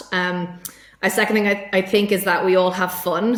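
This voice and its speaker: A woman in an Irish accent speaks at a fairly low pitch and a fairly quick pace. Her intonation is flat and monotone, with noticeable background noise. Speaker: tech sales executive. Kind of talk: podcast interview.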